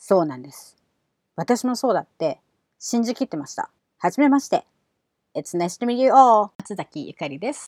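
A woman's animated, fairly high voice at a moderate pace, with very wide pitch swings, big swings in loudness, long and frequent pauses, and a dry, close sound with no echo. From Japan. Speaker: English pronunciation coach and podcast host. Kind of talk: podcast monologue.

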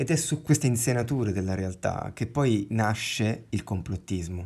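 In a very clean recording with a silent background, a somewhat breathy man speaks at a moderate pace and fairly low pitch with ordinary pitch variation. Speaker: podcast host. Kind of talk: casual chat. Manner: pauses with filler sound when thinking.

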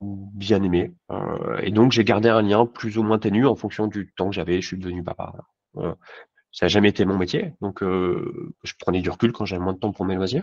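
A man with a plain, everyday voice talks at a moderate pace and a fairly low pitch with ordinary pitch variation. The background is quiet, and the sound is dry and close with no echo. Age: 40s. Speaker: insurance agent. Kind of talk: casual interview.

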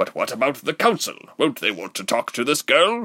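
A man does a put-on character voice at medium pitch. His tone is bright and sharp, with very wide pitch swings at a moderate pace.

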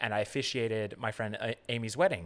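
In a very clean recording with a silent background, a man with an American accent talks at a fairly quick pace in an ordinary speaking voice. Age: 30s. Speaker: production assistant and comedy host. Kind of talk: casual chat.

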